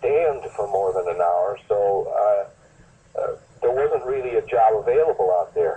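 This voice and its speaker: This man speaks fairly slowly. Background noise is noticeable behind him. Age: 70s. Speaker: valley fever survivor. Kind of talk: interview. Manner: halting.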